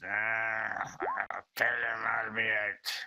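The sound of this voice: The voice is a put-on character voice, low in pitch. It sounds raspy.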